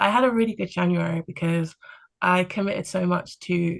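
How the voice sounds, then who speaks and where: A woman speaks with a London accent. Her pace is fairly quick. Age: 20s. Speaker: podcast guest on career break. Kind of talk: casual chat. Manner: calm; hesitant fillers.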